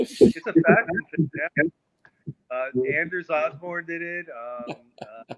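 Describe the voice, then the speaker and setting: With an American accent, this man talks at a very slow pace in a high pitch, using lively intonation, big swings in loudness, and long, frequent pauses. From New York, Long Island. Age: 60s. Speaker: musician. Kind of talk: casual chat.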